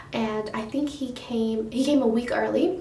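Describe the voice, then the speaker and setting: A soft-spoken woman talks at a fairly high pitch with fairly even intonation. Her voice carries audible room echo and noticeable background noise. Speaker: beauty vlogger. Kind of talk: casual storytelling vlog. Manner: rambling, hesitant.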